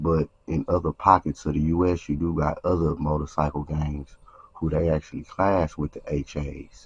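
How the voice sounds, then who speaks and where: Speaking at a moderate pace, a man has a very deep, low voice that is somewhat breathy and monotone. The sound is dry and close, with no echo. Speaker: YouTube commentator on street and prison topics. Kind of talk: casual commentary monologue.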